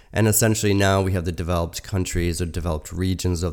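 Fairly even in intonation, a man speaks with a very deep, low pitch. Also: very clean recording, silent background. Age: 40s. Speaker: podcast host and energy researcher. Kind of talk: solo talk reading through a draft essay. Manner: halting, with frequent repetitions and fillers.

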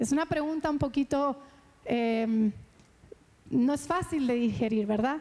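A woman with a high pitch and a dark, mellow tone speaks at a fairly slow pace, with long, frequent pauses, very even loudness and ordinary pitch variation. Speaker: pastor. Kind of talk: sermon.

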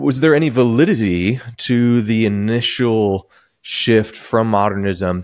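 A man with an ordinary speaking voice, medium in pitch, speaking at a fairly slow pace with very even loudness. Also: ordinary pitch variation. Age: 40s. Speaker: pastor and podcast host. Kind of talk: interview conversation; podcast intro.

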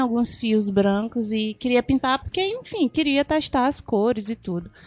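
Recorded in a dry, close sound with no echo, a woman talks at a moderate pace with a high pitch. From Brazil, Maranhão (São Luís). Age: 30s. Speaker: office worker, podcast guest. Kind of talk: casual chat.

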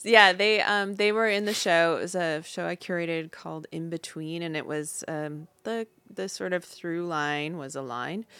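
A bright, sharp tone with an American accent, moderate pace, hardly any pauses and ordinary pitch variation, on a very clean recording with a silent background. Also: woman, fairly low pitch for a woman. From US Midwest, Upper Peninsula of Michigan. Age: 40s. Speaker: artist and curator. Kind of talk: casual chat.

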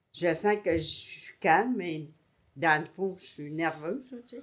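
Speaking at a very slow pace, a woman with a fairly low pitch and lively intonation comes through on a very clean recording with a silent background. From Montreal, Quebec. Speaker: married retiree sharing couple story. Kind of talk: casual interview.

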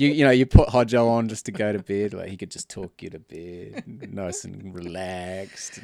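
Against a very clean recording with a silent background, a man with a fairly low pitch talks at a moderate pace, with big swings in loudness. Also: ordinary pitch variation. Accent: New Zealand. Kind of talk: casual banter podcast chat.

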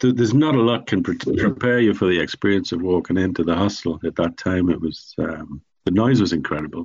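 Speaking with an Irish accent, a man delivers his words at a fairly quick pace with hardly any pauses, his fairly low voice carrying lively intonation. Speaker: charity founder. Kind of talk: interview.

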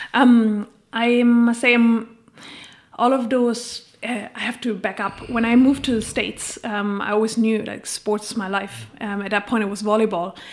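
Her voice fairly high, a woman speaks in a monotone, flat intonation at a moderate pace. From Germany. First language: German. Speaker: coach and keynote speaker. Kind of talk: casual interview.

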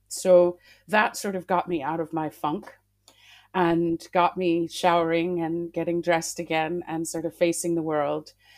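A woman with an American accent speaks at a fairly slow pace in a fairly low pitch. Her intonation is monotone and flat, in a very clean recording with a silent background. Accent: American, slight twang. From Massachusetts, US. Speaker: classical singer. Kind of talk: interview.

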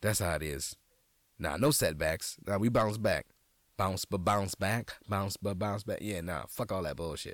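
Fairly low in pitch, a man speaks with an animated tone and ordinary pitch variation. His pace is fairly slow. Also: very clean recording, silent background. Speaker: comedian and podcast host. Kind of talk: casual comedic monologue with jokes. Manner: animated, joking, profane.

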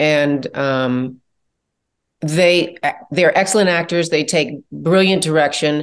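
Here is a woman with an American accent, a normal speaking voice and a fairly low pitch. She speaks at a fairly slow pace with lively intonation over a quiet background. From US Midwest, Chicago. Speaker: TV producer and director. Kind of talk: interview.

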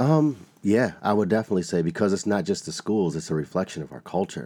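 On a very clean recording with a silent background, a man talks at a fairly quick pace in a dark, mellow tone. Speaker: school speaker and performer. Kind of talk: interview.

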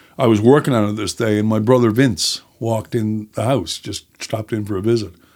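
This very clean recording with a silent background carries a voice in a Newfoundland accent with ordinary pitch variation. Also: man. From Newfoundland, Canada (St. John's and Placentia Bay). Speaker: writer and screenwriter. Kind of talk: casual chat.

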